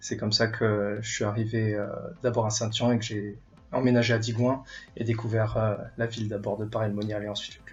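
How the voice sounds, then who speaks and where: In a somewhat breathy voice, a man speaks at a moderate pace. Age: 20s. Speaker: airline pilot and tennis club member. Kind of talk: casual interview. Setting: recorded at home. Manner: hesitant, many filler sounds.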